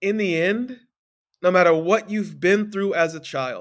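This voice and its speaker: A man at a fairly slow pace. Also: very clean recording, silent background. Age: 40s. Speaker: life coach, podcast host. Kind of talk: motivational podcast monologue. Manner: animated.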